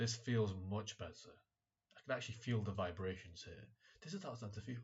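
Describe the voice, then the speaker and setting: Speaking fairly quickly with a British accent, a man uses a medium pitch and ordinary pitch variation. His voice is somewhat breathy. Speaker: vlogger, medical student. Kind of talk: casual vlog monologue. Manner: halting, repeats words.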